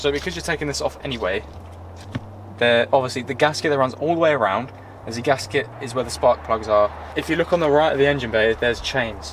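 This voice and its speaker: The speech comes at a very fast pace with lively intonation, over noticeable background noise. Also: man, medium pitch for a man. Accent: British. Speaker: car vlogger. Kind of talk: casual walkthrough vlog.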